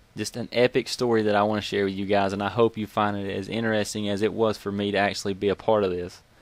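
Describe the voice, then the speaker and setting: Speaking at a very fast pace with hardly any pauses, a man in a Southern US accent keeps a fairly low pitch and a monotone, flat intonation. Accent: Southern US (Georgia). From US South, Georgia. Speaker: gaming YouTuber. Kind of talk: casual storytelling. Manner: casual, conversational.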